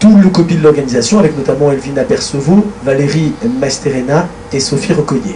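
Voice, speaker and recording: A man speaks at a fairly high pitch with lively intonation. Noticeable background noise and audible room echo fill the recording. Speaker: association official giving thanks at general assembly. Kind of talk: formal thank-you speech. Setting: stage at assembly with audience, livestreamed. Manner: fast.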